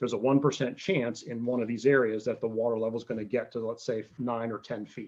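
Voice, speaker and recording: A man with an American accent talks very fast at a medium pitch, his intonation fairly even. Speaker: oceanographer giving a talk. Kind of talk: lecture. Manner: halting, many fillers and repetitions.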